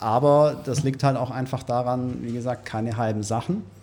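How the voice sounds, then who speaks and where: Here a man speaks fairly slowly at medium pitch. He has an ordinary speaking voice. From Ulm, Swabia, Germany. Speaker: winery manager. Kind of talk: casual interview.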